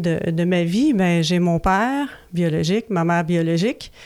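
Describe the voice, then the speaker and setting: This woman speaks with a Quebec accent and a dark, mellow tone at a fairly slow pace. Her pitch varies in an ordinary way, and the recording is very clean with a silent background. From Quebec, Laurentides. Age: 40s. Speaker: recovering alcoholic sharing story. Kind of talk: personal testimony. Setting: radio studio. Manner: halting, many hesitations.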